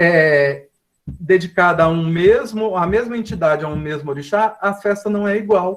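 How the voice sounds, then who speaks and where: A man's voice, high in pitch, its pitch variation ordinary. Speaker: professor. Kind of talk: lecture.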